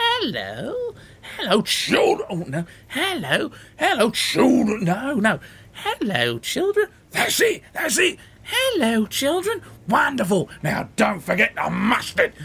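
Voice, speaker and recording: Speaking fairly slowly, a man puts on a character voice. His pitch is extremely high. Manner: feigned sweetness.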